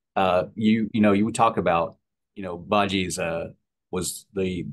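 A man's very deep, low voice with monotone, flat intonation. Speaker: podcast host. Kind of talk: interview. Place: home room. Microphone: video call.

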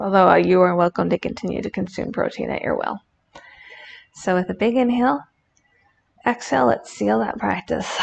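A woman with a warm, playful tone, moderate pace, and long, frequent pauses. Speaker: yoga instructor and streamer. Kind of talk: guided yoga instruction, calm cues with playful jokes. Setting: live stream with chat. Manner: warm, playful, laughs at her own jokes. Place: home room.

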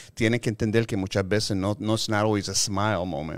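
The speaker is a man. His voice sits fairly low. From Chicago, Puerto Rican family. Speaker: film composer and music producer; guest. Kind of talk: casual interview; interview answer. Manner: halting, mixing Spanish and English. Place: meeting room. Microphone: studio mic.

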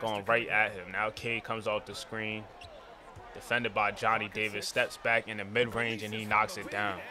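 Over noticeable background noise, a man speaks in an animated tone at a fairly low pitch. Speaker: gaming YouTuber. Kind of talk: casual sports play-by-play commentary over video game footage. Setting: solo recording, voiceover on gameplay. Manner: animated, fast play-by-play delivery; casual, hype, slangy.

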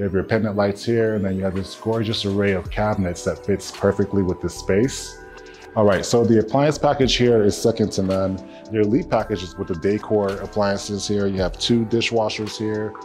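Clear music plays behind a man speaking at a fairly quick pace, fairly low in pitch, his intonation fairly even. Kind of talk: home tour commentary. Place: home room.

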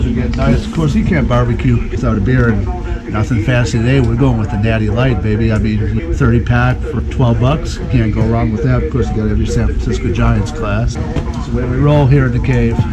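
Over loud background noise, a man talks at a fairly quick pace with hardly any pauses. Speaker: vlog host. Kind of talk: casual vlog chat. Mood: relaxed, jokey. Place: garage. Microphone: phone near.

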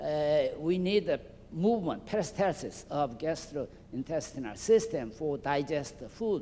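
A man with a Korean accent and a dark, mellow tone, fairly high in pitch with ordinary variation, at a fairly slow pace over light background noise. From South Korea. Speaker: physician; guest lecturer. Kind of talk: lecture. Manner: halting. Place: hall. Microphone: handheld.

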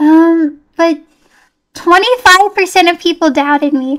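A woman's extremely high-pitched voice against a quiet background. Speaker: livestreamer playing horror games. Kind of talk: casual livestream gameplay chat. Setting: live stream with online chat. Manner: animated, excitable. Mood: nervous, relieved, soft. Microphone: studio mic.

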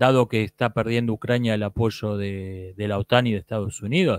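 In a dry sound with no echo and a quiet background, a man speaks at a fairly slow pace. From Argentina. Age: 40s. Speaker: YouTube commentator on philosophy and politics; YouTube commentator on philosophy. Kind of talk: monologue answering viewer comments. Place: home room. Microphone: handheld.

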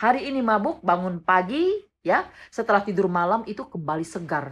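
A woman speaks at a moderate pace, her pitch swinging very widely. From West Kalimantan, Indonesia (Dayak, Sanggau); West Kalimantan, Indonesia. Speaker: vlogger. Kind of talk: response video monologue. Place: home room. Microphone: phone near.

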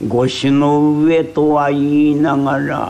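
A man speaks at a very slow pace with noticeable background noise behind him. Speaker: rakugo storyteller. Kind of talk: traditional comic storytelling performance.

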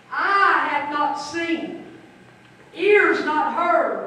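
A woman's extremely high pitch in strong room echo. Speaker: pastor. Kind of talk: funeral sermon. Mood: solemn, emotional eulogy. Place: church.

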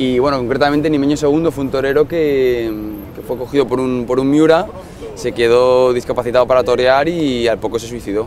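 Fairly quick speech from a man at a medium pitch, fairly even intonation, with music in the background. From Madrid. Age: 30s. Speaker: physiotherapist living abroad. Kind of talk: casual interview.

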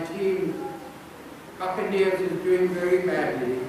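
The recording has strong room echo and noticeable background noise. A man speaks at a high pitch. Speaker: preacher. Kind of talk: sermon. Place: church.

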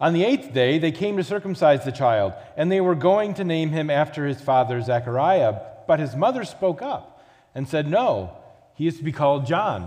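A man talks at a moderate speed, with little sound behind him. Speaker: pastor. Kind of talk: scripture reading and prayer. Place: church.

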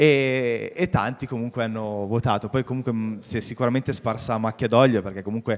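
This man has a normal speaking voice at medium pitch with ordinary pitch variation. Light background noise sits behind him. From Vercelli, Piedmont, northern Italy; Piedmont, Italy. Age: young. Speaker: local carnival organizer; TV guest. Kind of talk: TV talk show interview. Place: studio. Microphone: handheld.

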